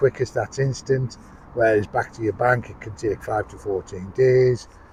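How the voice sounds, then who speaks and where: With a northern English accent, a man speaks at medium pitch and a moderate pace, with fairly even intonation. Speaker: outdoors vlogger. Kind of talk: casual product review vlog. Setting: outdoors in woods.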